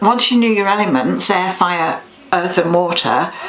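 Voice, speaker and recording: Amid noticeable background noise and audible room echo, a woman speaks. Her pace is fairly slow and her pitch variation ordinary. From Yorkshire, northern England. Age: 70s. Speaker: clairvoyant. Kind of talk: interview. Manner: hesitant, with many fillers and restarts.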